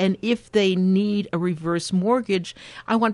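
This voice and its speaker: Against a quiet background, a woman with an American accent speaks at medium pitch and a fairly slow pace. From New York City. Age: 70s. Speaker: geriatric care manager. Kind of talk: radio interview. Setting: studio. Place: studio. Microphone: studio mic.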